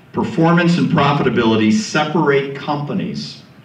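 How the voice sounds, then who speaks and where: A loud man speaks at a fairly slow pace, with audible room echo and noticeable background noise. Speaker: panel moderator. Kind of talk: speech to a live audience.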